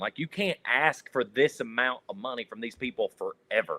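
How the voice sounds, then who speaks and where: A man speaks in a strong Kentucky accent at a fairly high pitch. His tone is animated. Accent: strong rural Kentucky. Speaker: sports reporter and panelist. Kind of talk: sports talk roundtable. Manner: animated, repeats words.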